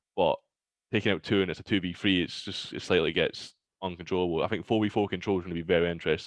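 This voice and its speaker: In a Glaswegian accent, a man with a very deep, low pitch talks at a very fast pace with fairly even intonation over a quiet background. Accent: Glaswegian Scottish. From Scotland, Glasgow. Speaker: pro esports player. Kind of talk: casual chat. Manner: not a loud person.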